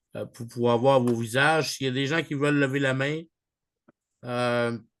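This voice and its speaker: With a strong Canadian French accent, a man talks at medium pitch with fairly even intonation. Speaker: online group leader. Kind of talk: video call meeting. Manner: hesitant, many fillers; mixes English words into French.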